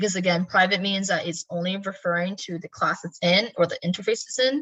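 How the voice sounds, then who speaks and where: A woman's ordinary speaking voice at a fairly quick pace, with ordinary pitch variation. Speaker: programming teacher. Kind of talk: lecture.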